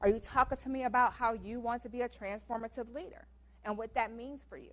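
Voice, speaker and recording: Big swings in loudness mark a woman's high-pitched voice. She speaks at a fairly quick pace. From US Midwest, Detroit Michigan. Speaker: guest lecturer. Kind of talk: lecture. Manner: fast.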